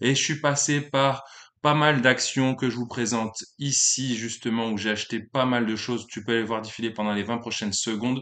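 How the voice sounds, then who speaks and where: A man with a bright, sharp tone speaks at medium pitch and a moderate pace. His intonation is fairly even, and the background is quiet. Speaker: YouTuber, amateur stock investor. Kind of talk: casual vlog monologue. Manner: hesitant with many fillers.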